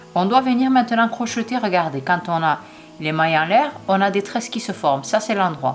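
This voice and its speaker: A woman with a medium pitch speaks at a moderate pace, her pitch swinging very widely. Noticeable background noise runs underneath. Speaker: crochet tutorial creator. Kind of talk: tutorial. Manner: hesitant, many fillers.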